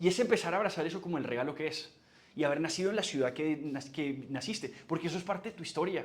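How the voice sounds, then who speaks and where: Room echo is audible and background noise noticeable as a man speaks at a very fast pace. His pitch is high, with ordinary variation. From Colombia, Barranquilla with Antioquian parents. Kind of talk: lecture.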